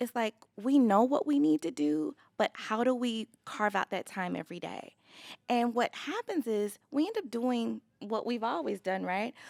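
Lively intonation from a woman with an American accent, fairly high in pitch, at a moderate pace, in a dry, close sound with no echo. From Los Angeles, California. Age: 30s. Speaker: business owner. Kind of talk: casual interview chat. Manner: animated.

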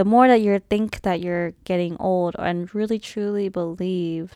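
A woman with a fairly low voice speaks at a fairly slow pace. Her intonation is fairly even, on a very clean recording with a silent background. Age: 20s. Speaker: solo podcast host. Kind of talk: casual monologue. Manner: halting.

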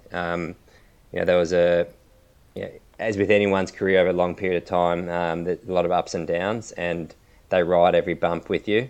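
An Australian-accented man at a moderate pace, very deep in pitch and flat in intonation, against a quiet background. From Melbourne, Australia. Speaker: retired cricketer. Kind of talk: interview.

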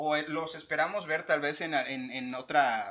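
A man speaks with a Mexican accent against noticeable background noise. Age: 30s. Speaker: podcast co-host. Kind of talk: casual chat. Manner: animated.

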